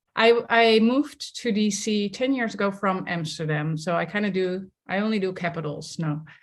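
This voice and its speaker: On a very clean recording with a silent background, a woman with a Dutch accent speaks at a moderate pace and medium pitch, with ordinary pitch variation and hardly any pauses. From Netherlands, village near The Hague. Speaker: somatics leadership coach. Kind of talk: interview conversation.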